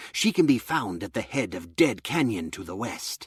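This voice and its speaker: In a put-on character voice, a man talks at medium pitch and a moderate pace. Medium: video game. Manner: grave, measured.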